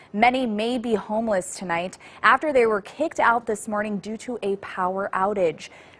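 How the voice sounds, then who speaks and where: With ordinary pitch variation, an unremarkable speaking voice delivers its words at a fairly quick pace. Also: woman. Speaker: TV news reporter and anchor. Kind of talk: TV news report.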